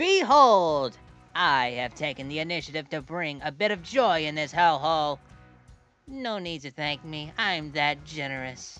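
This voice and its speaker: A put-on character voice at a middle pitch moves at a moderate pace with a smug tone. Faint music plays in the background. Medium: fan dub. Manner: showy, smug, teasing.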